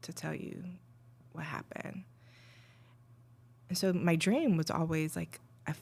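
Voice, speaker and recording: A woman's very deep, low voice, somewhat breathy, with fairly even intonation at a moderate pace. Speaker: abuse survivor sharing life story. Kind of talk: podcast interview, personal testimony. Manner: hesitant, many fillers.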